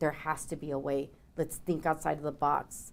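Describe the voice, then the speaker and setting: A woman speaks with a Mexican accent and a very deep, low pitch. Her intonation is monotone and flat. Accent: Mexican Spanish accent, rolled R's. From Mexico. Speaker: business owner, consultant. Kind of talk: podcast interview. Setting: studio with small live audience.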